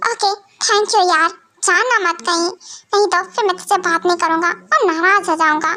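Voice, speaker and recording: A woman does a put-on character voice at an extremely high pitch, speaking at a moderate pace with ordinary pitch variation. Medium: fan dub. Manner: wheedling, sulky.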